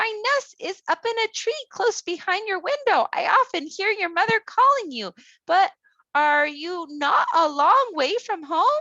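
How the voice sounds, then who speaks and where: The speaker puts on a squeaky character voice. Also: woman, extremely high pitch for a woman, moderate pace. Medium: read story.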